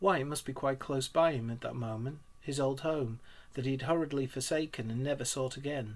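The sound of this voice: Pitch varies in an ordinary way as someone reads in an unforced voice.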